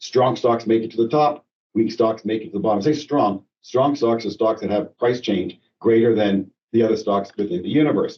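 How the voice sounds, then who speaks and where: A man talks at a medium pitch, his pitch varying in an ordinary way. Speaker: financial advisor / portfolio manager. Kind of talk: investment webinar presentation. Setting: conference call. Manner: fast; halting with many fillers.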